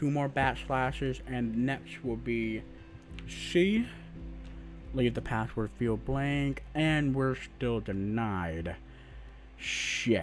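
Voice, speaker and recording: Music plays in the background as a man talks at a very slow pace with long, frequent pauses. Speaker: penetration tester. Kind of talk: screen-recorded hacking tutorial.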